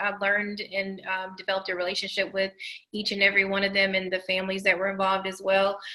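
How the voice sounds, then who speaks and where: A woman with a slight Southern US accent, medium pitch and a very fast pace. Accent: slight Southern country. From Tennessee. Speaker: documentary producer. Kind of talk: interview.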